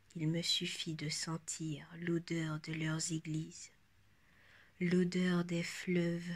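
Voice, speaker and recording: Somewhat breathy and monotone, a woman's fairly low voice moves at a very slow pace with flat intonation. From France. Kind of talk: poetry reading.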